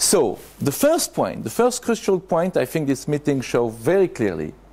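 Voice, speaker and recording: A man with a French accent, high-pitched yet dark and mellow in tone, at a fairly slow pace with very wide pitch swings. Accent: French accent, non-native English. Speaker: conference speaker. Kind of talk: conference talk. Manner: halting, with hesitations.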